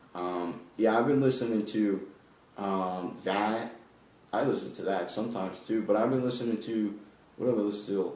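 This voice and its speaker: Fairly even intonation from a man at a fairly low pitch, with audible room echo. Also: moderate pace. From New York. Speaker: podcast host. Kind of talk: casual chat.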